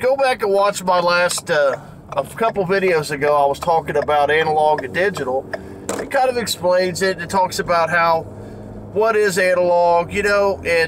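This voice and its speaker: At a moderate pace, a man speaks with ordinary pitch variation against light background noise. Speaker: record collector vlogger. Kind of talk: casual vlog chat. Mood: mildly annoyed, opinionated. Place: car. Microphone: phone near.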